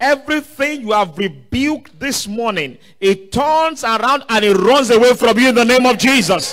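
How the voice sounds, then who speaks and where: Animated in tone, this voice keeps a moderate pace with ordinary pitch variation and hardly any pauses. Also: man, extremely high pitch for a man. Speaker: preacher. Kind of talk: sermon with call-and-response prayer. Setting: church service streamed online. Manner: commanding, urging the audience to stand, lift hands and pray aloud. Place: church. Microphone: handheld.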